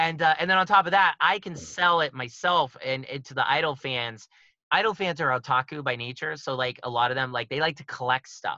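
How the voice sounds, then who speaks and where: With an American accent and a fairly high pitch, a man talks at a fairly quick pace in a bright, sharp tone, with ordinary pitch variation and a dry, close sound with no echo. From Pittsburgh, Pennsylvania, US. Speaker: musician and documentary filmmaker. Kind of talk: casual podcast interview.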